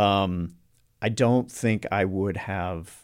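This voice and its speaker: Very slowly and with ordinary pitch variation, a man with an American accent speaks at a very deep, low pitch on a very clean recording with a silent background. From US South, North Carolina. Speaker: actor. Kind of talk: casual chat.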